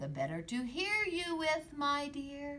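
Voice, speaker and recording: Delivered at a fairly slow pace over clear background noise, this put-on character voice has a high pitch. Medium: read story. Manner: sly, falsely sweet.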